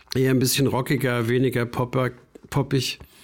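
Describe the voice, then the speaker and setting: With an unremarkable speaking voice, a man talks at a moderate pace and medium pitch. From rural Bavaria. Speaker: concert promoter. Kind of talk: interview.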